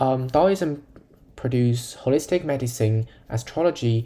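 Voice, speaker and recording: A man's medium-pitched voice with a non-native accent, a dark, mellow tone, ordinary pitch variation and a fairly slow pace. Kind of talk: educational lecture narration.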